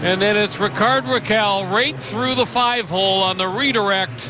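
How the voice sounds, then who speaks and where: The voice is raised and projected. Noticeable background noise runs behind it. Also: man. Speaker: hockey color commentator. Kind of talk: live sports commentary. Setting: arena broadcast. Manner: animated.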